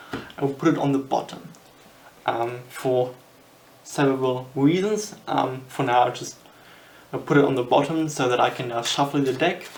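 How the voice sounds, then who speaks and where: Someone speaks in a German accent over noticeable background noise. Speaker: magician. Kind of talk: tutorial. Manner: halting.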